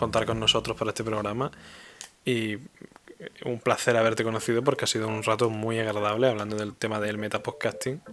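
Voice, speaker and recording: Against noticeable background noise, a man speaks at a moderate pace at a medium pitch, his intonation flat and monotone. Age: 20s. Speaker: podcaster. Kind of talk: casual interview chat.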